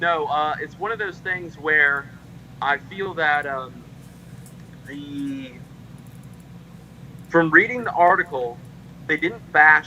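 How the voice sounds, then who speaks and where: Over noticeable background noise, a man with a fairly high pitch speaks at a very slow pace, taking long, frequent pauses as his loudness swings widely. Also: ordinary pitch variation. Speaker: member of a heritage group. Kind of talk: casual chat. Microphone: too quiet at first.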